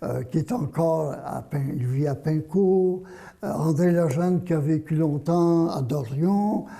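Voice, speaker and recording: Against noticeable background noise, a high-pitched man speaks at a very slow pace. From Quebec, Vaudreuil. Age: 80s+. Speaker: journalist and author. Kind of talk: interview. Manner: halting, repeats words.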